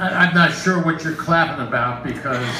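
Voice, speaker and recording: A fairly high-pitched man amid noticeable background noise and audible room echo. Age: 70s. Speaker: amateur stand-up comedian. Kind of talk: stand-up. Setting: stage with audience. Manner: halting, many fillers.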